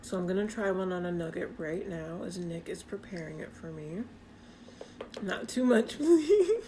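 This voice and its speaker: A woman speaks at a moderate pace with a medium pitch and ordinary pitch variation, her loudness swinging widely over noticeable background noise. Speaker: podcast co-host. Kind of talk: casual chat. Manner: animated.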